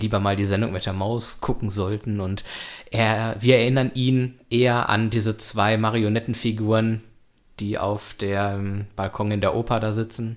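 Monotone, flat male voice, fairly low in pitch and fairly slow, on a very clean recording with a silent background. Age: 20s. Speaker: podcast host. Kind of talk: casual chat.

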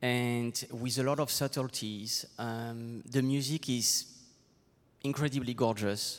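On a very clean recording with a silent background, a man with a French accent speaks at a very slow pace and medium pitch in a monotone, flat intonation. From southwest France. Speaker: choreographer. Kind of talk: onstage interview. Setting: stage with audience. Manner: halting.

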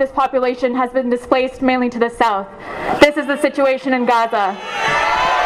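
A woman talks fairly quickly in a high pitch with fairly even intonation. Noticeable background noise is present. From Palestine. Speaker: Palestinian youth movement speaker. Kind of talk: rally speech. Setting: outdoor rally with crowd. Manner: passionate, forceful, emphatic, rapid-fire.

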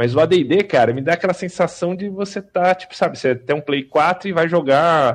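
A man with an ordinary speaking voice talks at a moderate pace with lively intonation over a quiet background. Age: 40s. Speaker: RPG player. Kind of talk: casual chat.

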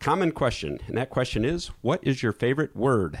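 Showing vocal fry, a man with a medium pitch speaks with lively intonation. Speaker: podcast host. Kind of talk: casual interview.

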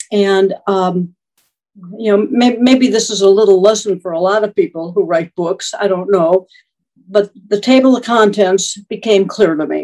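A woman speaks with a dark, mellow tone. Her pitch is medium, with ordinary variation. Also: moderate pace. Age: 70s. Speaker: retired marketing professor and author. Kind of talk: interview conversation. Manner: halting, with repetitions and fillers.

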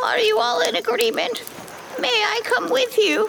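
The voice is high-pitched and moves at a moderate pace. Background noise is clearly audible. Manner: disbelieving, fragile.

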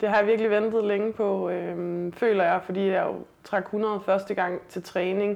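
A woman speaks at a fairly slow pace. Her intonation stays monotone and flat. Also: medium pitch for a woman. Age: 30s. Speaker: weightlifter and police officer. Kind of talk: casual interview. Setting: host's apartment.

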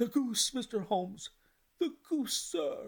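In a put-on character voice, the speaker talks fairly slowly at a fairly high pitch. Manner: astonished.

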